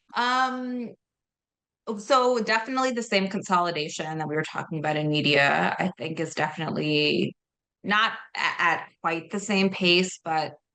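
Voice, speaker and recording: A woman's fairly low-pitched voice, bright and sharp in tone, with lively intonation at a moderate pace. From Belarus. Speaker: book publicist. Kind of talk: interview.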